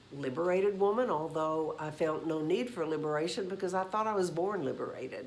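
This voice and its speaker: At a moderate pace and fairly low pitch, a woman speaks with ordinary pitch variation in a room with audible echo. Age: 70s. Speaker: YouTube host on senior relationships. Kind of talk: casual talk to camera. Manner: conversational with fillers.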